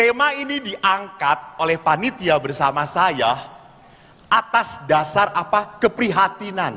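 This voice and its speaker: Projecting a raised voice at high pitch, a man sounds animated with very wide pitch swings over noticeable background noise. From Bandung, West Java. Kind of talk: religious talk to congregation. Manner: animated, humorous storytelling.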